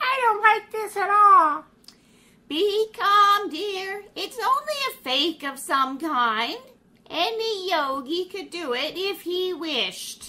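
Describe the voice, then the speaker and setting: Putting on a character voice, a woman speaks at a very slow pace with an extremely high pitch, very wide pitch swings and big swings in loudness. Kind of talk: 1930s radio acting. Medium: audio drama. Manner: haughty.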